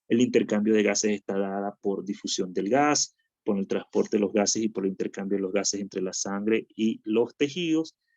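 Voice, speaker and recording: A man speaks at a moderate pace with hardly any pauses, his pitch fairly low with ordinary variation, in a dry, close sound with no echo. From Venezuela. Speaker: physician lecturer. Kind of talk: lecture.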